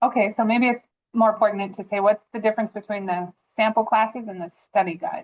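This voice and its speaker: A woman's fairly high voice at a fairly quick pace, with fairly even intonation, big swings in loudness, and a normal speaking voice. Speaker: 4-H volunteer coach. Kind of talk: webinar question.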